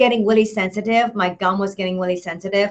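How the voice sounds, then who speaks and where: A woman's voice at medium pitch with ordinary pitch variation. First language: not English. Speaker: product reviewer. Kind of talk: product review vlog. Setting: Google Hangout video. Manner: halting, many fillers.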